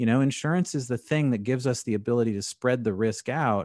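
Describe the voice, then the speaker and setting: The recording is very clean, with a silent background and a dry, close sound with no echo. A man speaks with an American accent and ordinary pitch variation. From San Diego, California. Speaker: insurance business owner and investor. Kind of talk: interview conversation.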